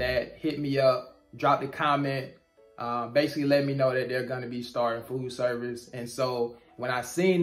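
At a moderate pace, a man's voice is heard over faint background music. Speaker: YouTuber about trucking jobs. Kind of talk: casual vlog chat. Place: office. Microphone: phone near.

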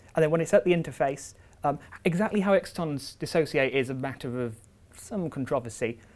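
The pace is fairly quick, with ordinary pitch variation. The tone is slightly mellow. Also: man, fairly high pitch for a man.

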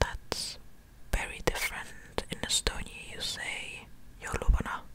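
Over loud background noise, a soft-spoken woman whispers, her sound dry with no echo. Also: fairly slow pace. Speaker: content creator. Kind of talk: soft-spoken ASMR-style word lesson. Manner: soft close-mic ASMR whisper. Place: home room. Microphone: studio mic.

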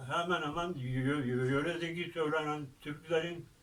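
A man's fairly high voice at a very slow pace, with ordinary pitch variation and noticeable background noise. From Gölhisar, Burdur, Turkey. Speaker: folk poet and forest ranger. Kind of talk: interview answer.

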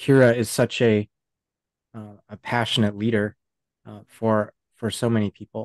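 A man talks at a moderate pace. The background is quiet and the sound is dry, with no echo. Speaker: podcast co-host. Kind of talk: interview. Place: home room. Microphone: video call.

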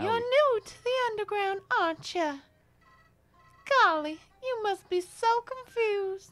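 The speaker uses a put-on character voice. Delivery is fairly slow, with long, frequent pauses. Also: woman, extremely high pitch for a woman. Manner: sweet, chipper.

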